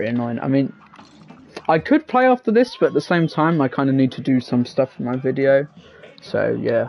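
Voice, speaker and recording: A man with a British accent at a moderate pace, over noticeable background noise. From England. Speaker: gaming streamer. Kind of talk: live gaming stream chat. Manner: casual, hesitant with fillers.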